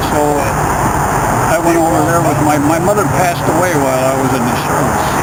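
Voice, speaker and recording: A man's fairly high-pitched voice at a moderate pace, with fairly even intonation and very even loudness, over noticeable background noise. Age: 80s+. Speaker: war veteran. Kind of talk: interview. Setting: museum. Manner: halting. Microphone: poor audio quality.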